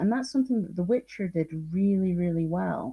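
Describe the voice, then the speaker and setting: A woman speaks at a medium pitch with a dark, mellow tone. Her voice is somewhat breathy. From northeast Scotland. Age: 40s. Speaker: teacher and language speaker. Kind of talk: interview on live stream.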